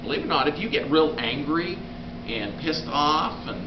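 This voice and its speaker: Moderate speed from a man with a fairly high voice, amid clear background noise and audible room echo. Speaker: health educator giving a talk. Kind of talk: lecture.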